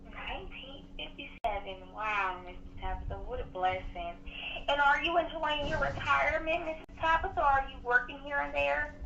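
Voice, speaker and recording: Noticeable background noise and audible room echo surround a woman's high-pitched voice. Her pitch swings very widely, and her loudness varies a lot. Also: moderate pace. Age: 20s. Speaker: telemarketer. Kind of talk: sales pitch. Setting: phone call. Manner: friendly and polite.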